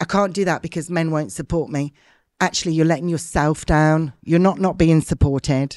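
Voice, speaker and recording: This woman has a normal speaking voice, fairly low in pitch with ordinary pitch variation. The sound is dry and close with no echo, over a quiet background. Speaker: martial arts business leader. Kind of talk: interview conversation.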